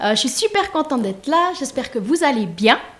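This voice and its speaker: Pitch swings very widely as a woman speaks. Her pace is fairly quick. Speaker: make-up artist and hairstylist. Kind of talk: self-presentation at online wedding fair. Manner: hesitant, many fillers.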